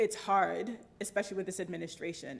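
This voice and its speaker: A woman speaks at a medium pitch with vocal fry. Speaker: civil liberties advocate and lobbyist. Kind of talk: Q&A after a talk. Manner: fast.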